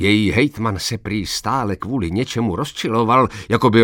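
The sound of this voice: The reading voice is unforced, and its pitch shifts in an ordinary way.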